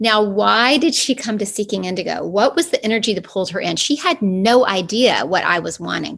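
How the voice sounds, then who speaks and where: A woman's medium-pitched voice with an American accent, vocal fry and lively intonation, moving at a fairly quick pace with hardly any pauses. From US South, Atlanta, Georgia. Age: 50s. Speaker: spiritual coach and studio owner. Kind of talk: interview.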